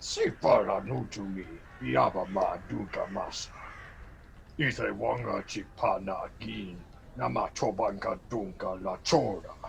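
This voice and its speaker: The speaker uses a put-on character voice at a fairly slow pace. Background noise is clear. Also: man. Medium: stage play. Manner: speaks only alien gibberish.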